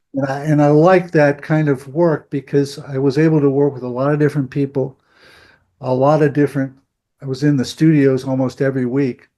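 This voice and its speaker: At a fairly quick pace, a man speaks with a fairly high pitch and monotone, flat intonation. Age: 70s. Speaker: composer and big-band leader. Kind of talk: interview. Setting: video call. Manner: halting, many repetitions.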